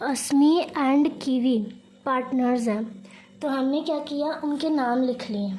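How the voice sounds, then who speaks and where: With audible room echo, a woman with a high voice talks at a very slow pace in fairly even intonation. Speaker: teacher. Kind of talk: tutorial.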